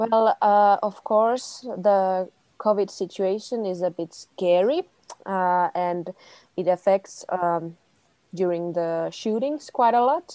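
A woman with a medium pitch and a dark, mellow tone speaks at a very slow pace with ordinary pitch variation, in a dry, close sound with no echo and a quiet background. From Finland, Tampere. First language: Finnish. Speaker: film producer. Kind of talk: panel discussion.

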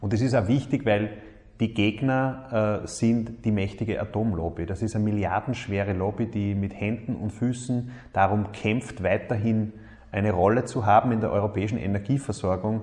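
Fairly even intonation and a moderate pace come in a somewhat breathy voice. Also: man, fairly low pitch for a man. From Upper Austria, Mühlviertel. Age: 30s. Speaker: politician, state minister. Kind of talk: recorded statement.

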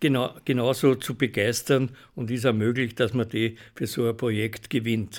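Recorded very cleanly with a silent background, a man speaks with fairly even intonation. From Austria, Weinviertel (Hollabrunn). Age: 70s. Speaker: charity club leader, retired manager. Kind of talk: radio interview.

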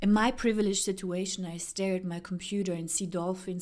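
Her pitch sits at a medium level. The woman's delivery is monotone and flat. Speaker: podcast host and writer. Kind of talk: spoken word essay reading. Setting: home during quarantine.

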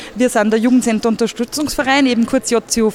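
Against noticeable background noise, a woman talks fairly quickly at a high pitch, her pitch varying in an ordinary way. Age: 20s. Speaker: youth centre manager. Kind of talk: interview. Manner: casual, hesitant with fillers.

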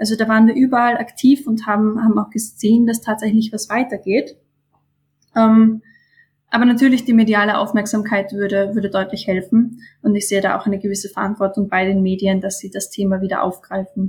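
The voice is somewhat breathy, moving at a fairly quick pace in a monotone, flat intonation. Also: woman, fairly high pitch for a woman. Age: 20s. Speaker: climate activist, student. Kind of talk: interview.

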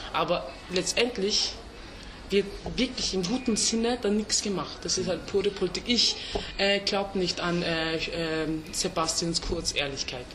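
A woman with a Turkish accent speaks at a medium pitch and a fairly slow pace, with ordinary pitch variation, long, frequent pauses and noticeable background noise. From Vienna, Austria. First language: Turkish (speaking German). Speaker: rapper. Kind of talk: casual interview. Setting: restaurant. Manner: halting.

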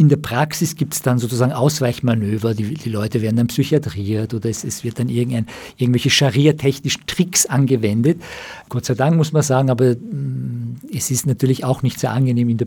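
Somewhat breathy and dark, mellow in tone, a man talks at a medium pitch and a moderate pace with ordinary pitch variation. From Austria, Germany and Iran. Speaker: psychoanalyst and writer. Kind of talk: radio interview. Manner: halting, many fillers.

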